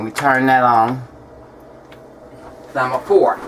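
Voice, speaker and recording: A woman's very deep, low voice at a fairly slow pace, over noticeable background noise. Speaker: home cooking video maker. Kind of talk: cooking tutorial. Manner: casual, chatty.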